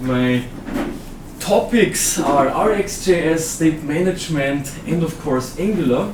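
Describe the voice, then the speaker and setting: With an Austrian accent, a man with a fairly high pitch and ordinary pitch variation speaks amid noticeable background noise and audible room echo. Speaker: software trainer and conference speaker. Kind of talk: conference talk. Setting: stage with audience.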